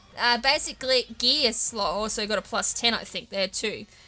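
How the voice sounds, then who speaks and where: Against noticeable background noise, someone with an Australian accent talks at a moderate pace. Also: woman. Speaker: gaming youtuber. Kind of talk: let's play commentary. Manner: casual, rambling.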